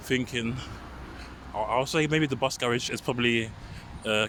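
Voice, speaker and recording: Noticeable background noise surrounds a man with a London accent. He talks at a very fast pace with a medium pitch. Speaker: walking vlogger. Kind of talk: walking vlog narration. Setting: outdoors. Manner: stutter, sighs.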